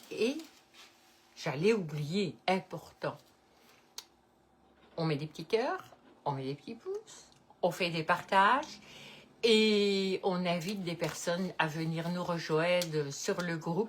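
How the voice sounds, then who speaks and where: With a Belgian accent and a fairly low pitch, a woman speaks at a very slow pace with ordinary pitch variation and long, frequent pauses. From Belgium, Liège-Namur area. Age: 70s. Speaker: cooking video host. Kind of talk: casual chat; cooking tutorial. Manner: casual, hesitant with many euh.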